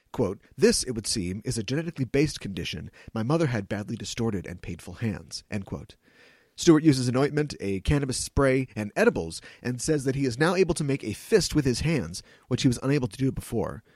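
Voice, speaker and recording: At a fairly quick pace, a man with a medium pitch talks with lively intonation and some vocal fry. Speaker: podcast host. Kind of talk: news and interview podcast.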